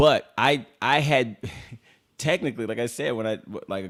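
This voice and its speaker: With an American accent and ordinary pitch variation, a man speaks in a very clean recording with a silent background. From Los Angeles, San Fernando Valley (Pacoima). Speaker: rapper. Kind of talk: casual chat. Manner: animated.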